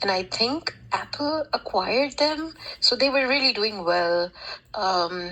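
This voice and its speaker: Over noticeable background noise, a woman speaks at a fairly slow pace with a fairly high pitch. Her pitch swings very wide while her loudness stays very even. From India. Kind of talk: casual discussion. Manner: halting.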